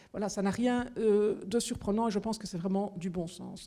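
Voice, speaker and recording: At a moderate pace, a woman speaks with a dark, mellow tone, a fairly high pitch and ordinary pitch variation. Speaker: regional housing minister. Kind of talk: political town hall talk. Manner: animated.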